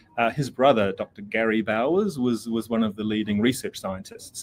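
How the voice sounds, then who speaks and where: This is a man speaking with a New Zealand accent. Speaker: pet product company representative. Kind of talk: product demo interview. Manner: casual, many fillers.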